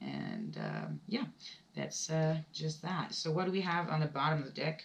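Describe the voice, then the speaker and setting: At a moderate pace, a woman speaks with a German accent. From Germany. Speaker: tarot reader. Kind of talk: tarot reading. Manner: halting, many fillers.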